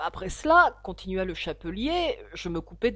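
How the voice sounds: The clip features a natural reading voice.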